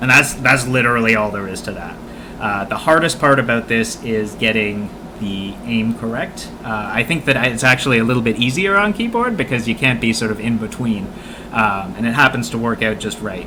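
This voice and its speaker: In a Canadian accent, the speaker talks at a fairly quick pace over noticeable background noise. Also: man, medium pitch for a man, ordinary pitch variation. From Canada. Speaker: video game speedrun teacher streamer. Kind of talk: live-stream gameplay tutorial. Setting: live stream. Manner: casual, with many fillers (uh, um).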